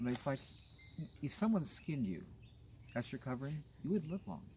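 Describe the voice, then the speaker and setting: Dark, mellow tone with an American accent, somewhat breathy, with very wide pitch swings. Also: man. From US West Coast, Los Angeles. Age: 60s. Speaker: gardener. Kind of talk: garden tour talk, casual conversation. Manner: animated.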